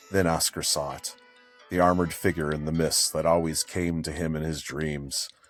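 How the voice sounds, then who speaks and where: A man's very deep, low voice with music in the background. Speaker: author reading own book. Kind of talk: audiobook fantasy narration.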